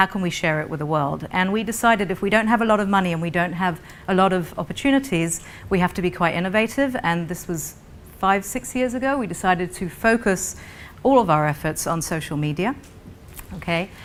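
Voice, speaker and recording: With a British accent, a woman speaks at a fairly quick pace and medium pitch, using lively intonation. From Britain, raised mostly in Israel. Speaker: non-profit founder, panelist. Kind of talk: conference panel presentation.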